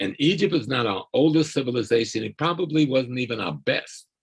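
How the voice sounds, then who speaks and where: Vocal fry runs through a man's medium-pitched voice as he speaks at a moderate pace with very wide pitch swings. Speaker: scholar activist and lecturer. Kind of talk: lecture. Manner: calm.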